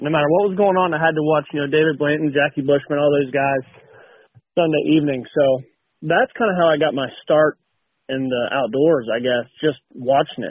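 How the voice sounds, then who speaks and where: The man's pitch is fairly high and moves with ordinary variation. He keeps up a fairly quick pace. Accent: Appalachian. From West Virginia. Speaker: power plant technician and hunter. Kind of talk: casual interview chat.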